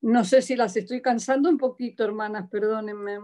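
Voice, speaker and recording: The woman's fairly high pitch shows ordinary variation. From Argentina, Buenos Aires. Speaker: church member giving testimony. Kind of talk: testimony. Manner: halting.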